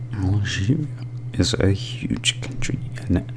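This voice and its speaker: A whispered voice with a gentle tone comes through over noticeable background noise. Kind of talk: ASMR gentle reading of facts. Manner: gentle, whispered.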